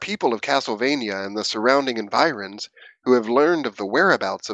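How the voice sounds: The clip features a natural reading voice whose intonation is lively.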